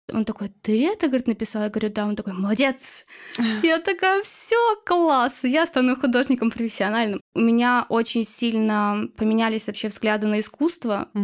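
Using a normal speaking voice, a woman talks at a moderate pace with a fairly high pitch. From Chuvashia, Russia. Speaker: illustrator and blogger. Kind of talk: casual interview chat.

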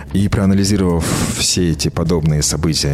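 Man talking at a fairly quick pace with ordinary pitch variation, against noticeable background noise. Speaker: singer-songwriter and DJ. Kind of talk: interview. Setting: studio.

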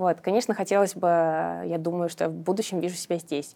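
A woman's fairly low, dark, mellow voice at a moderate pace on a very clean recording with a silent background. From Russia, Samara. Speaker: digital marketing specialist. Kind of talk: casual interview.

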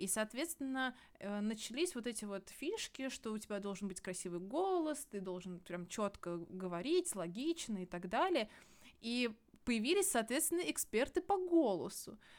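Her pitch is fairly high and swings very widely. The woman talks at a moderate pace. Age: 20s. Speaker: scientist, podcast co-host. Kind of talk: casual chat. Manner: animated, gesturing.

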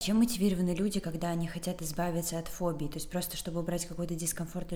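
Very fast speech from a woman, set against noticeable background noise. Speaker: podcast host. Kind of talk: casual interview.

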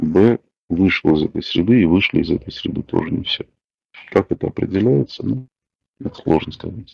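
His voice is very deep and low, with lively intonation. This man keeps a moderate pace with long, frequent pauses. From Russia, Moscow. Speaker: discussion partner. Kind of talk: casual chat. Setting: audio chat room.

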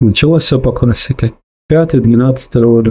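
Calm and somewhat breathy, a man speaks at a medium pitch and moderate pace with a dark, mellow tone and fairly even intonation. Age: 40s. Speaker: weight-loss story contributor. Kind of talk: personal testimony. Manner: calm, measured.

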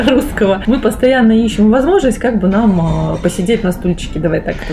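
Speech unfolds at a moderate pace with ordinary pitch variation. Noticeable background noise is present throughout. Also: woman. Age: 30s. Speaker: food technologist. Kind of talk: casual interview.

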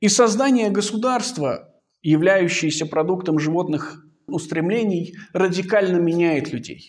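A man's high pitch at a fairly slow pace. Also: ordinary pitch variation. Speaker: philosophy researcher. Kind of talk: lecture. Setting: seminar. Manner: formal.

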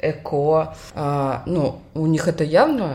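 A woman's voice with a very deep, low pitch. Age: 30s. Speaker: podcast co-host, bank manager on maternity leave. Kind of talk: casual chat.

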